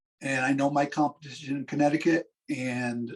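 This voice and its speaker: A normal speaking voice from a man, fairly high in pitch, at a moderate pace. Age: 60s. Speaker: physician assistant and business owner. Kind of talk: interview.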